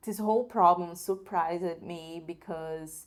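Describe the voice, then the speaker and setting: In a Brazilian Portuguese accent, a woman speaks with a fairly low pitch. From northern Brazil. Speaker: video creator. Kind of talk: product review. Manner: halting.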